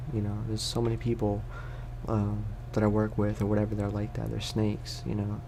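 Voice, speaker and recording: A man speaks softly. His pace is fairly quick. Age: 20s. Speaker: ASMR creator. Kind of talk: casual talk to camera. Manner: soft-spoken.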